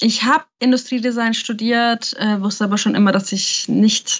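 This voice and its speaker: A woman's fairly high voice moves at a moderate pace with fairly even intonation. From Nuremberg, Germany. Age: 20s. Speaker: podcast co-host, designer. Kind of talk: casual podcast chat.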